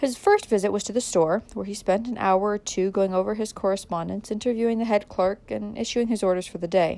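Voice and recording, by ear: With ordinary pitch variation, this is reading aloud in a natural voice.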